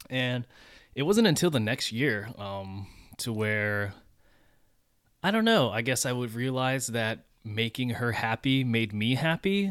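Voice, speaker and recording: A man with an American accent speaks in a normal speaking voice at a medium pitch. His lively intonation moves at a fairly slow pace on a very clean recording with a silent background. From US, Iowa and Las Vegas. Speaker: partner of the host, Air Force veteran. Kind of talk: casual chat.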